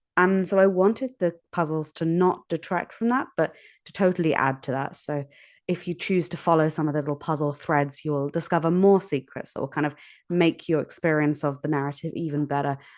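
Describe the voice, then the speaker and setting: In a British accent, a woman speaks at a moderate pace with a very deep, low pitch. Her pitch variation is ordinary, and the background is quiet. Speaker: puzzle designer. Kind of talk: interview. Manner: casual, some filler words.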